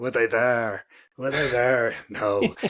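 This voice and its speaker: A man puts on a raspy character voice with a strong Irish accent. His pitch sits at a medium level. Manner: emphatic, rhetorical questioning.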